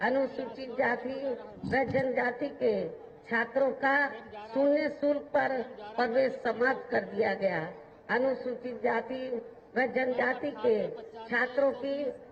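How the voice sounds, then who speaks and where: A woman speaks at a high pitch with fairly even intonation and very even loudness. Long, frequent pauses break her speech, and background noise is noticeable. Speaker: politician, national president of a political party, former chief minister. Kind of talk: political rally speech. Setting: outdoor public rally, large crowd.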